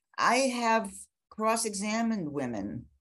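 Speaking very slowly with an American accent, a woman uses a fairly high pitch, lively intonation and vocal fry against a quiet background. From US Midwest, Chicago. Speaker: law professor and criminal defence lawyer. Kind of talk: interview.

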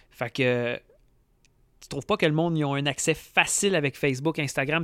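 Speaking with a Quebec accent, a man talks at a fairly quick pace in a fairly high voice with ordinary pitch variation. The recording is very clean, dry and close with no echo, over a silent background. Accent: Québécois French. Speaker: fishing podcast host. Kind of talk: casual chat.

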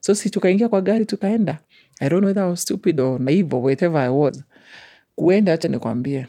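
The speaker has a Kenyan accent and talks at a very fast pace. The background is quiet. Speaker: guest sharing life story. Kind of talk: personal testimony interview. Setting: studio.

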